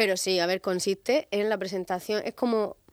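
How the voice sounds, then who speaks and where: In a dry, close recording with no echo, a woman with a medium pitch speaks with fairly even intonation. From Murcia, Spain. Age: 30s. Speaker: singer. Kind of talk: radio interview.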